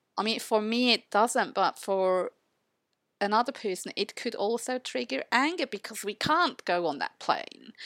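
A woman's plain, everyday voice, fairly high in pitch with lively intonation, at a fairly slow pace, with a dry, close sound with no echo in a very clean recording over a silent background. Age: 50s. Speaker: podcast co-host, photo organizer. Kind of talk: casual chat.

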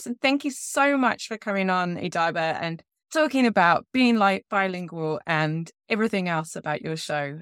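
A woman with a normal speaking voice talks at a moderate pace, fairly low in pitch, with lively intonation. The recording is very clean with a silent background and a dry, close sound with no echo. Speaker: podcast host. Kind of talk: casual interview.

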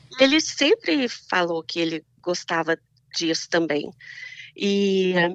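Woman with a fairly low pitch and lively intonation at a very slow pace, with long, frequent pauses. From Minas Gerais, Brazil. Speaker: Brazilian immigrant wife of an American. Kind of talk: casual interview chat.

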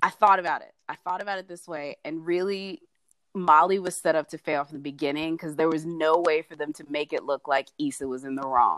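A woman with an unremarkable speaking voice talks at a fairly quick pace and fairly low pitch, her intonation fairly even and her loudness swinging widely, in a dry, close sound with no echo. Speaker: co-host, TV critic panelist. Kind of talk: casual chat about a TV episode.

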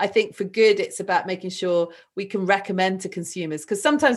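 A woman with a southern English accent and a medium pitch talks at a fairly quick pace against a quiet background. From southern England. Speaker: renewable energy entrepreneur. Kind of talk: interview conversation.

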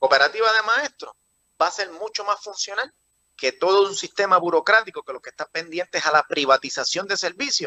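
A man speaks with a high pitch in a bright, sharp tone. His pace is fairly quick. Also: dry, close sound with no echo. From Puerto Rico, rural. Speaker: political candidate. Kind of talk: interview. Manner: halting, repetitive.

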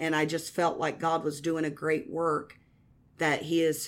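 A woman talks at a moderate pace in a Midwestern American accent. Her voice is very deep and low. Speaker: evangelist. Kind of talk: testimony. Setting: radio studio.

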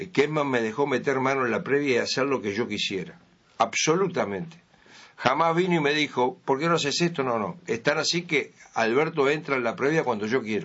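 A man with a plain, everyday voice talks at a fairly quick pace and a fairly high pitch, with ordinary pitch variation. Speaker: sports radio presenter. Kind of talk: interview.

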